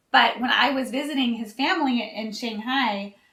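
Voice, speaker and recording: The voice has an American accent and lively intonation. Audible room echo surrounds it. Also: woman. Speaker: YouTube couple vlogger. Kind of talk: casual chat. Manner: quiet, laid back.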